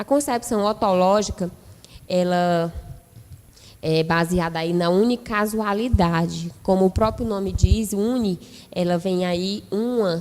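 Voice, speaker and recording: A woman's medium-pitched voice at a very slow pace, broken by long, frequent pauses. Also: ordinary pitch variation. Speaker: nursing lecturer. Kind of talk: lecture.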